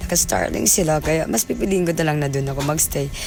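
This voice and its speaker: Over noticeable background noise, a woman with a very deep, low pitch speaks at a fairly quick pace with lively intonation. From Philippines, Cordillera. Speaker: vlogger. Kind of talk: vlog voice-over. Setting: recorded in a car.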